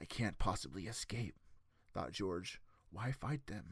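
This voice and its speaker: Putting on a character voice, a man speaks at a fairly low pitch and a fairly slow pace. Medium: read story.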